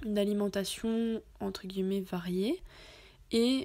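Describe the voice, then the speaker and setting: Her dark, mellow tone comes with fairly even intonation as this woman talks at a fairly slow pace. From France. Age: 20s. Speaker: podcaster. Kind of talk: personal testimony monologue. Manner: casual with frequent hesitations.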